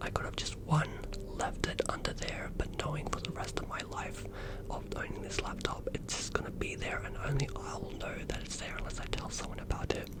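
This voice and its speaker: A man whispering amid noticeable background noise. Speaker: new ASMR creator. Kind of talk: ASMR whisper story-time. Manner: whispered, soft-spoken.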